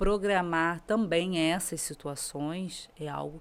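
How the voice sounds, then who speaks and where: A woman speaks in a fairly low pitch. Her pitch variation is ordinary. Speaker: lawyer. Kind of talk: podcast interview.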